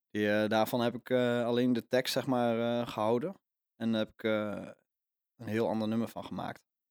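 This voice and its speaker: In a very clean recording with a silent background, a man with a medium pitch talks at a moderate pace in a monotone, flat intonation. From Netherlands, Overijssel. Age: 20s. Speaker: folk singer-songwriter. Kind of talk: casual interview. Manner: halting.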